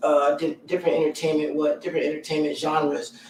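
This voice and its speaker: A man with an American accent and a fairly high pitch. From US South, Columbia, South Carolina. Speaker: musician and entertainer. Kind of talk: interview. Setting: live stream.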